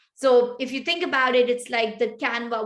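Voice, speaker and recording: Against a quiet background, a woman with a Pashto accent talks at a moderate pace. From Pakistan. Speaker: tech start-up founder. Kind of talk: interview.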